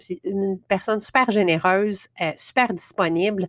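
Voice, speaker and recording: In a dry, close recording with no echo, a woman with a medium pitch speaks at a fairly slow pace. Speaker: podcast host. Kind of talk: podcast intro monologue. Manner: hesitant, many fillers.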